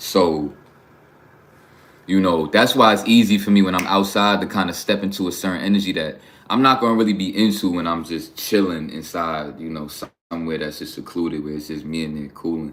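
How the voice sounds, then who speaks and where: A man talks at a fairly quick pace in a very deep, low voice with ordinary pitch variation. His loudness swings widely, and the room echo is audible. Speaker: livestreamer. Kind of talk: casual livestream monologue. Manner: casual, conversational.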